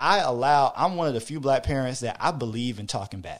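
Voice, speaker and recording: In an American accent, a man with an unremarkable speaking voice talks at a moderate pace and medium pitch with ordinary pitch variation, on a very clean recording with a silent background. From Hampton, Virginia. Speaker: father and podcast listener. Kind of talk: casual chat.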